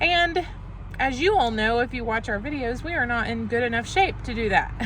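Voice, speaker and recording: A high-pitched woman speaks at a moderate pace with lively intonation, against noticeable background noise. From rural area (grew up in the country). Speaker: travel vlogger. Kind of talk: casual vlog chat.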